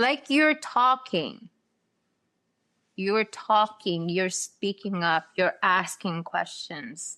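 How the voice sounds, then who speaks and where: In a very clean recording with a silent background, a woman with a non-native accent speaks at a very slow pace in a bright, sharp tone, her pitch swinging very widely. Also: medium pitch for a woman. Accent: noticeable foreign. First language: not English. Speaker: podcast host. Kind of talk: casual chat.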